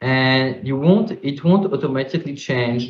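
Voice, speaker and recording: A man speaks at a medium pitch with a French accent, somewhat breathy. His pitch varies in an ordinary way, and his pace is fairly slow. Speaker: crypto startup founder. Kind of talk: panel discussion.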